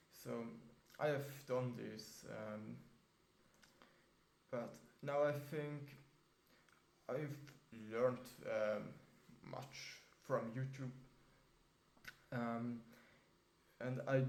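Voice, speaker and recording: A man at a medium pitch and a very slow pace, with fairly even intonation, long, frequent pauses, and audible room echo. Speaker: vlogger. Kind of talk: casual vlog monologue. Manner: halting, many fillers.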